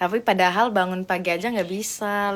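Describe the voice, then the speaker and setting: At a fairly slow pace, a woman speaks with a strong Javanese accent, a medium pitch and ordinary pitch variation. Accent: thick Javanese. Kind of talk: casual, colloquial Indonesian.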